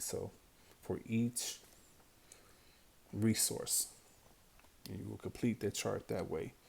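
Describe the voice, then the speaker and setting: A man speaks in a fairly low voice with a dark, mellow tone. His delivery is flat and monotone. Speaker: teacher. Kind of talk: tutorial.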